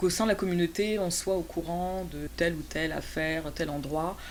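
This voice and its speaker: A woman with a fairly low pitch talks at a moderate pace. Audible room echo surrounds her voice. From France. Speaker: guest, museum representative. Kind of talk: interview. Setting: studio. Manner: hesitant, many fillers.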